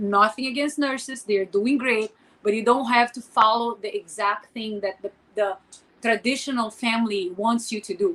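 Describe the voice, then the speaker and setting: A woman with a Portuguese accent speaks at a moderate pace and a fairly high pitch, her intonation fairly even. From Brazil. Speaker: podcast co-host, former model and entrepreneur. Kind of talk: casual chat.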